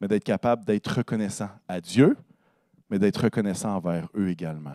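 A man's dark, mellow tone, fairly low in pitch with ordinary pitch variation, at a fairly quick pace, in a dry sound with no echo against a quiet background. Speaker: pastor. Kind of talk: sermon. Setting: church. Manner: fervent, warm and earnest, with rising praise-like exclamations; conversational, pausing often and stumbling on words. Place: church. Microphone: handheld.

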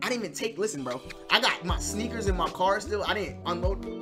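A man speaks at a moderate pace. Behind him, clear music is playing. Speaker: streamer. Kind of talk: casual stream chat. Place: home room.

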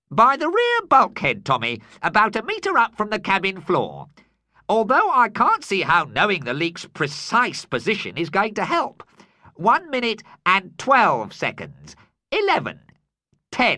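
A man's put-on character voice, high-pitched and cheerful, at a fairly slow pace. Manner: cheerful, giggly, flippant; mock-polite, chatty.

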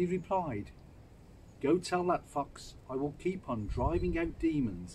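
Over light background noise, a man talks at a fairly slow pace in a somewhat breathy voice. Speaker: Bible reader. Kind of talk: scripture reading aloud. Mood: calm, solemn. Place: garden. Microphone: phone near.

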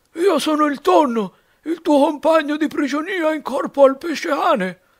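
A man puts on a character voice at an extremely high pitch, delivered at a moderate pace. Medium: read story. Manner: warm, good-humoured.

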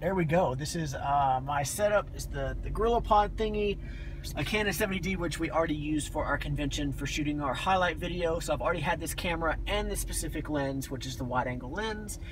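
A man talks at a very fast pace with a fairly high pitch and ordinary pitch variation, against noticeable background noise. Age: 30s. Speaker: dance convention business owner. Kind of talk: casual vlog talk to camera. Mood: a bit nervous, upbeat. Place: car. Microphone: phone near.

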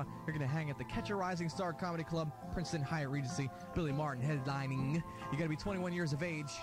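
American accent at a very fast pace with an upbeat, energetic tone, ordinary pitch variation, dry sound with no echo and clear music in the background. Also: man, hardly any pauses. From United States. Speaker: radio DJ. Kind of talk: radio station promo and on-air DJ patter. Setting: radio broadcast, 1994 demo. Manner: upbeat, fast, energetic. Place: studio.

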